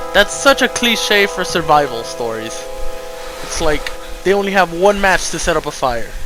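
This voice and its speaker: Over music in the background, a man projects a raised voice at a fairly slow pace, his pitch swinging very widely. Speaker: gaming commentator. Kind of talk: casual gameplay commentary.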